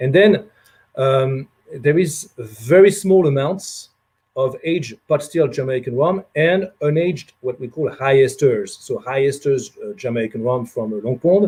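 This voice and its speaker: A man's fairly high, somewhat breathy voice with a dark, mellow tone, lively intonation and a fairly slow pace. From France. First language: French. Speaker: rum producer representative. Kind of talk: casual talk on a livestream. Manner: many hesitations and fillers.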